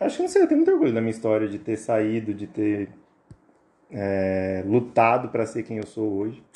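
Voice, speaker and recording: Monotone and flat in intonation, a man speaks at a medium pitch and a moderate pace in a dark, mellow tone. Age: 30s. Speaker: barber. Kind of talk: casual chat.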